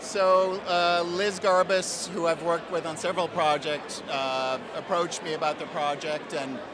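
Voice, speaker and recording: In an American accent, a man talks in a high pitch over noticeable background noise, with audible room echo. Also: fairly even intonation, moderate pace, hardly any pauses. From New York. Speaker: TV composer. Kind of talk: interview. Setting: awards event.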